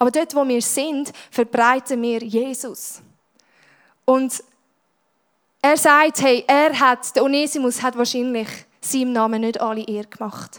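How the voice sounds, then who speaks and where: A woman with a Swiss accent speaks fairly slowly at a high pitch with fairly even intonation. She takes long, frequent pauses on a very clean recording with a silent background. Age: 20s. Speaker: youth church speaker. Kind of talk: sermon.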